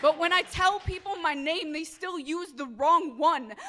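Here a woman uses a raised, projected voice. Her pace is moderate. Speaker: poet and activist. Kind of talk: slam poetry performance. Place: hall. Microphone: handheld.

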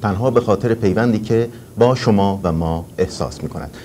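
There is light background noise as a man with a dark, mellow tone and fairly low pitch talks fairly quickly, his pitch varying in an ordinary way. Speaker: call-in TV and radio host. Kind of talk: live call-in show. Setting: studio in Washington. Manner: formal and courteous. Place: studio. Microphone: lapel.

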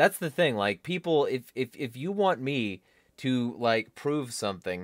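The speech moves at a very slow pace over a quiet background. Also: man. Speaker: political vlogger. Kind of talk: casual vlog commentary rant. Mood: irritated, complaining. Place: home room. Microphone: studio mic.

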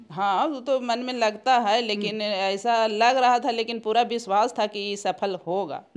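A woman's fairly high voice at a fairly slow pace, with ordinary pitch variation and hardly any pauses. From Bihar, Gaya; Bihar. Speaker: scientist's mother. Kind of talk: interview. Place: home room. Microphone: handheld.

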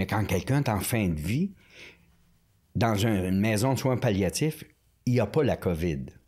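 A man's fairly low, dark, mellow voice at a fairly slow pace, lively intonation, very even loudness, long and frequent pauses, and a quiet background. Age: 60s. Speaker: priest, former prison chaplain. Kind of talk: casual interview chat. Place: studio. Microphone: studio mic.

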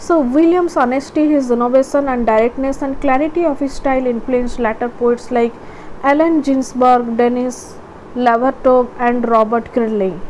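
Noticeable background noise sits behind this voice. A woman talks at a high pitch with ordinary pitch variation. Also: moderate pace. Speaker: educational video tutor. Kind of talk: lecture-style tutorial, with a short poem read aloud. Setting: online video, recorded solo. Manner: halting, with frequent fillers.

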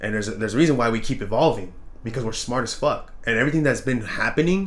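A man talks at a fast pace with lively intonation. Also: medium pitch for a man.

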